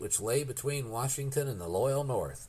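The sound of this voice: Pitch shifts in an ordinary way across an unforced reading voice.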